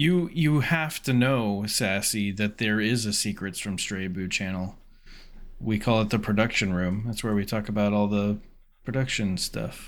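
A man with an unremarkable speaking voice talks at a fairly low pitch and a moderate pace with ordinary pitch variation. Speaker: podcast co-host. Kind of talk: casual banter, podcast chat. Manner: rambling, filler words.

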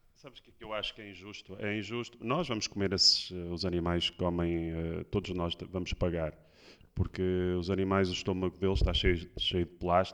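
A man's very deep, low voice at a fairly quick pace, with fairly even intonation, big swings in loudness and a quiet background. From Porto, northern Portugal. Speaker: surf instructor. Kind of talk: casual chat.

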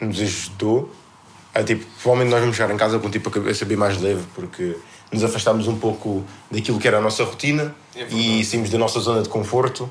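With a European Portuguese accent, a man speaks at a very fast pace with fairly even intonation. Noticeable background noise and audible room echo accompany him. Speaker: podcast co-host. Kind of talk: casual chat.

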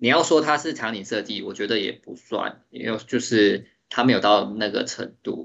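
Barely pausing, a medium-pitched man speaks with lively intonation and vocal fry. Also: moderate pace. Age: 30s. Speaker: 3D artist and designer. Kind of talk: interview.

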